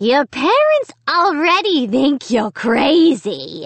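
Whispering at a slow pace, a woman puts on a raspy character voice.

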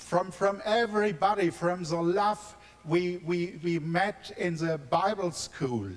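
A man's high-pitched voice with a German accent at a very slow pace. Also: ordinary pitch variation. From Germany, near Frankfurt; Germany. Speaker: pastor; guest. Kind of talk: testimony. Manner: halting, repeating words in broken English. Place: church. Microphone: handheld.

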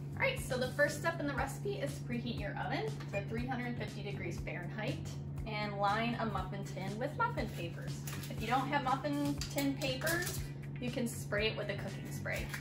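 Clear background music under a woman speaking at moderate speed. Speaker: teacher giving a cooking demo. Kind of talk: tutorial. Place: kitchen. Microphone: camera far.

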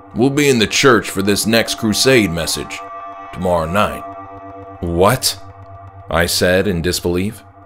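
With music in the background, a man with a fairly low voice talks at a fairly slow pace with lively intonation. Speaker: author reading own work. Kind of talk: horror story narration.

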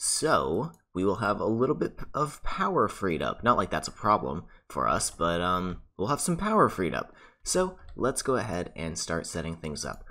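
Relaxed yet bright and sharp in tone, a man with a fairly low pitch and very wide pitch swings speaks at a moderate pace. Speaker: gaming YouTuber. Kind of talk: gameplay commentary. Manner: casual, relaxed.

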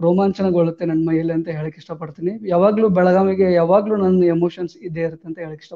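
A man speaks in a high voice with a flat, monotone intonation. His loudness swings widely against a quiet background. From north Karnataka, India (Jamkhandi, Bagalkot district); Karnataka. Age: 20s. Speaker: police officer, civil service exam topper; interviewee. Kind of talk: interview. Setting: live online broadcast. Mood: warm, proud, smiling. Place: home room. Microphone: lapel.

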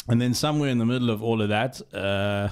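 The speaker keeps a moderate pace with ordinary pitch variation. Behind the voice, the background stays quiet. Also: man. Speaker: motoring journalist, podcast co-host. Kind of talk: casual podcast conversation. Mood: relaxed, amused storytelling. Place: studio. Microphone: studio mic.

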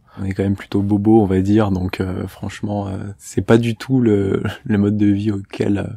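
A man's fairly low pitch at a fairly slow pace, with monotone, flat intonation. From France, Massy near Paris. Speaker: student activist. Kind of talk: interview.

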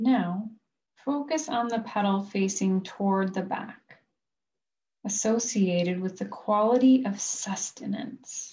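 A woman speaks very slowly at a medium pitch, somewhat breathy. Her tone is dark and mellow. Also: ordinary pitch variation. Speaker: life coach. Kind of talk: guided chakra meditation, reading imagery from a book. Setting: recorded video session. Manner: slow, soothing cadence paced to the breath; gentle, calm, softly instructive. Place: home room. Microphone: video call.

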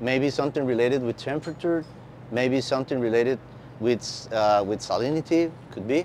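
Speaking with a Spanish accent and ordinary pitch variation, a man is heard over light background noise. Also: medium pitch for a man, fairly quick pace, dry sound with no echo. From Costa Rica. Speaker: marine biologist. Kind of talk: conference talk. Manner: halting.

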